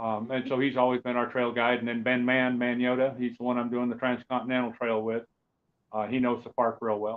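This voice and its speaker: A man's medium-pitched voice, flat and monotone, at a fairly quick pace. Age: 60s. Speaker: off-road truck racer. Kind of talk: casual interview chat.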